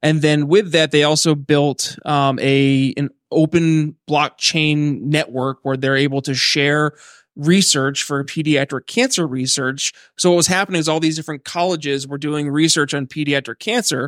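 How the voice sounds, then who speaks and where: A man with an American accent talks at a moderate pace in an ordinary speaking voice, fairly high in pitch and with fairly even intonation, on a very clean recording with a silent background and a dry, close sound with no echo. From Philadelphia. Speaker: podcast host. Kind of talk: casual chat.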